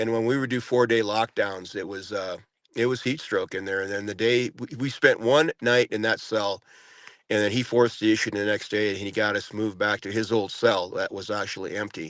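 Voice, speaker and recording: A man with a plain, everyday voice talks at a fairly quick pace, his pitch fairly low. His intonation stays fairly even over a quiet background. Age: 60s. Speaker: former prisoner, January 6 defendant. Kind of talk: podcast interview.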